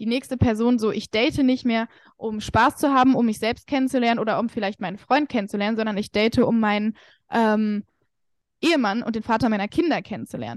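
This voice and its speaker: In a dry, close sound with no echo and a quiet background, a woman speaks very fast with a fairly high pitch and fairly even intonation. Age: 20s. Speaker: confidence coach. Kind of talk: casual chat.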